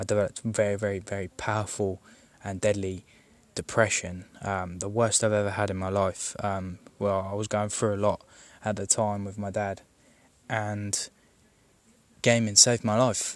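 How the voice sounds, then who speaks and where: On a very clean recording with a silent background, a man with a southern English accent speaks at a moderate pace and fairly low pitch, his intonation monotone and flat, with long, frequent pauses. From southern England. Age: 20s. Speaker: gaming podcaster. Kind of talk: personal monologue. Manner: hesitant, many fillers.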